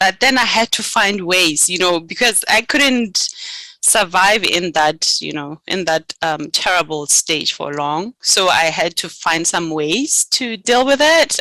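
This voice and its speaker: Speaking at a fairly slow pace, a woman uses lively intonation and a bright, sharp tone. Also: dry, close sound with no echo. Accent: Botswana. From Botswana. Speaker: graduate student. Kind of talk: interview. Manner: hesitant, many fillers.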